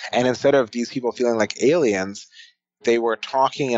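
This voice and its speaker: At a moderate pace, a man with an American accent talks at a medium pitch in a plain, everyday voice. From United States. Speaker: futurist and author. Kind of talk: podcast interview.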